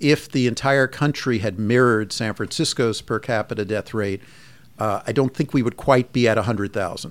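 A man's unremarkable speaking voice at medium pitch, with an American accent, a fairly quick pace, and a very clean recording against a silent background. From US Northeast, Long Island, New York. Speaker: physician and medical department chair. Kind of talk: interview.

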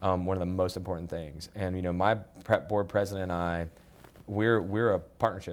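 A fairly quick, monotone, flat delivery in an American accent. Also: man, very deep, low pitch for a man. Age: 30s. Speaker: nonprofit executive director. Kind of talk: interview.

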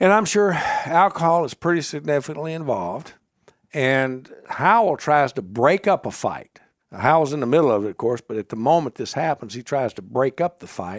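Recorded with a dry, close sound and no echo, a man with a Mississippi accent speaks at a moderate pace with lively intonation. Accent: Southern US (Mississippi). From US South, Mississippi (Marshall County). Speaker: author, historian. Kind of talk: interview storytelling.

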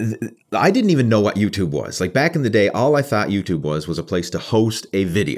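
A man with a Canadian accent speaks at a fairly quick pace in a fairly low pitch, his voice swinging very widely, on a very clean recording with a silent background. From Canada. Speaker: bodybuilder and online fitness coach. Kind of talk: casual interview chat.

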